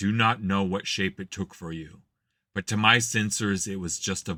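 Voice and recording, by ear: Reading aloud in a natural voice, with fairly even intonation against a quiet background.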